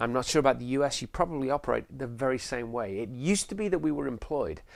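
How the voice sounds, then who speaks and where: A man with an English accent at a very fast pace, medium pitch and ordinary pitch variation on a very clean recording with a silent background. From England. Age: 50s. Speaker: sales trainer and realtor. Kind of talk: promotional course introduction.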